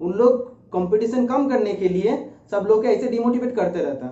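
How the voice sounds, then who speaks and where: In a room with audible echo, a man speaks with lively intonation. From India, West Bengal. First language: Bengali (speaking Hindi). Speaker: YouTuber, research centre employee. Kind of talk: informational talk. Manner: hesitant, with filler sounds.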